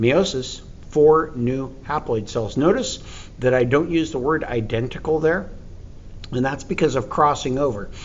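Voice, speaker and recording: Against audible room echo, a man speaks at a moderate pace with a fairly high pitch. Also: ordinary pitch variation. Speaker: teacher. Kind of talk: lecture.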